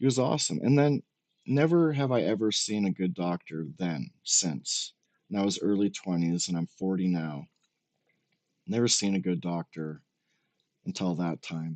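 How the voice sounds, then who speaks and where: Pitch swings very widely at a moderate pace broken by long, frequent pauses, in a dry, close sound with no echo and a quiet background. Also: man, fairly low pitch for a man. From Canada, Regina, Saskatchewan. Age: 40s. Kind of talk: casual rant commentary. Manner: animated.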